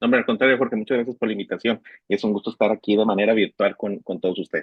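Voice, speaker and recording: A man at a very fast pace, in a monotone, flat delivery. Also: medium pitch for a man. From Mexico, Nuevo León. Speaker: economics professor. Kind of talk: lecture. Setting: online class. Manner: repetitive, stammering.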